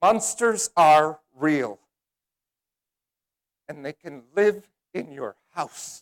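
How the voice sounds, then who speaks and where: A man with a fairly high voice speaks at a very slow pace with very wide pitch swings and long, frequent pauses. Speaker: motivational speaker. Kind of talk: speech contest keynote. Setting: live audience. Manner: energetic.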